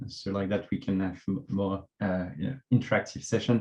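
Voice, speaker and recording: Ordinary pitch variation from a man with a French accent. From France. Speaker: local government transport officer. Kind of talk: conference presentation. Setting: online workshop. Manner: hesitant, many fillers.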